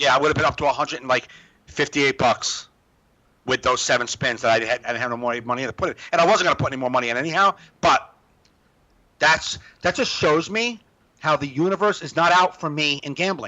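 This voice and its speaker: Lively in intonation and animated in tone, a man talks at a very fast pace but leaves long, frequent pauses. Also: fairly high pitch for a man. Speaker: stand-up comedian. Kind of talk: casual chat. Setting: video call.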